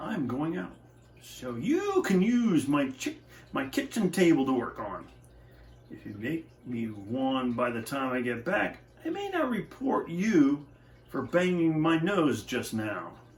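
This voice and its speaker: A gruff, bellowing put-on character voice from a man, fairly high-pitched, with very wide pitch swings and a fairly slow pace. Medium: read story.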